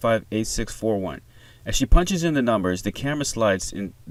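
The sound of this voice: Unforced reading voice, nothing more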